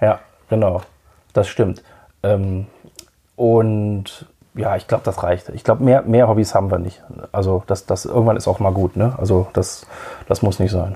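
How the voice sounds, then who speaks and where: This man's voice sits at a fairly low pitch, with a dark, mellow tone and a somewhat breathy quality. He talks at a fairly slow pace with fairly even intonation and long, frequent pauses. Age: 40s. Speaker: podcast host and radiologist. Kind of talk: casual interview as guest on own podcast.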